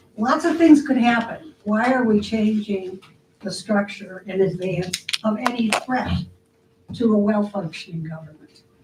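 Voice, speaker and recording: Against noticeable background noise, a woman talks at a fairly slow pace with a fairly high pitch and ordinary pitch variation. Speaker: resident giving public comment. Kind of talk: public comment at council meeting. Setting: city council meeting.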